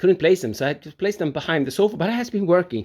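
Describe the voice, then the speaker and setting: With a non-native accent, a man speaks at a high pitch, his voice swinging very widely in pitch. The recording is very clean and the background silent. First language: not English. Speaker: home studio builder, video blogger. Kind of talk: casual video vlog tour. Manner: halting, with frequent fillers and restarts.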